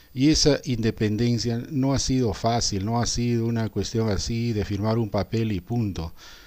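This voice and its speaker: Speaking at a fairly slow pace, a man with a medium-pitched, dark, mellow voice keeps fairly even intonation. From Peru, Arequipa. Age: 60s. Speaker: teacher. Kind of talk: reflective monologue. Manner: halting with fillers.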